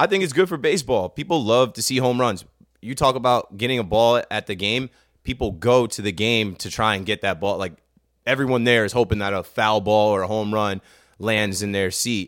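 An unremarkable speaking voice from a man, fairly low in pitch with ordinary pitch variation, moves at a fairly quick pace in a very clean recording with a silent background. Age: 30s. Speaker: baseball podcast co-host. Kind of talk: casual chat.

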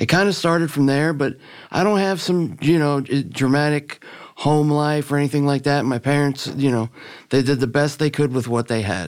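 A man with a fairly high pitch speaks at a moderate pace, with ordinary pitch variation and very even loudness. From Miami, Florida. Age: 40s. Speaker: person in addiction recovery. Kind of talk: testimony. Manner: halting.

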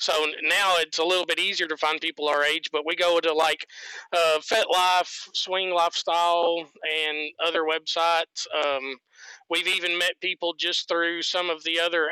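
A man's high-pitched voice with a Southern US accent, bright and sharp in tone, monotone and flat in intonation, very even in loudness, at a fairly slow pace. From US South. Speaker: guest sharing his sex life. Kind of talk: interview.

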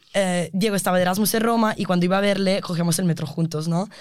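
A woman at medium pitch, fairly quick and fairly even in intonation, in a very clean recording with a silent background. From Italy. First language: Italian (speaking Spanish). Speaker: environmental engineering student. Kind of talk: interview. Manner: halting.

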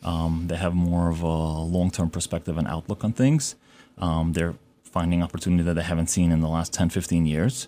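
With a New York accent, a man talks at a fairly quick pace in a very deep, low voice. His tone is dark and mellow, and his intonation stays fairly even. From Brooklyn, New York (emigrated from Uzbekistan at seven). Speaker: real estate broker. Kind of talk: radio interview. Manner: halting, many fillers.

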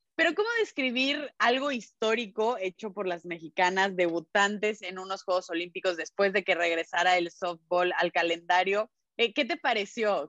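In a dry, close sound with no echo, a woman with a plain, everyday voice talks at a moderate pace, medium pitch, and ordinary pitch variation. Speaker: sports journalist. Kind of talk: casual chat.

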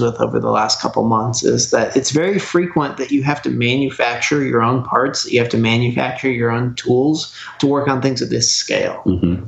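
With an American accent, a man at medium pitch talks at a fairly quick pace with hardly any pauses over noticeable background noise. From Oregon, US. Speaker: repair teardown technician. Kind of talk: casual interview chat. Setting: phone or video call.

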